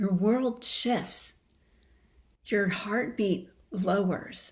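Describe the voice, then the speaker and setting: At a medium pitch, a woman speaks very slowly in a calm, somewhat breathy tone with fairly even intonation. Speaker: coherence practice teacher. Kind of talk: guided practice and teaching conversation. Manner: slowed, calm pace.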